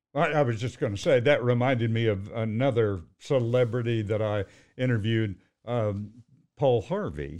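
With an American accent, a man has an ordinary speaking voice, speaking at a moderate pace and medium pitch with ordinary pitch variation. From Fort Worth, Texas. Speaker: retired news anchor. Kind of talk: casual chat.

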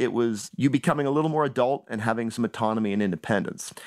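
A man with a Canadian accent at a very fast pace, lively intonation, dry, close sound with no echo, and a very clean recording with a silent background. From Canada, Toronto. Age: 40s. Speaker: writer. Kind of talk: interview.

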